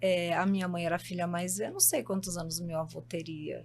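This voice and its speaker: In a somewhat breathy voice, a woman talks at a fairly quick pace. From São Paulo, Brazil. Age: 60s. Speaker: psychologist. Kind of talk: podcast interview.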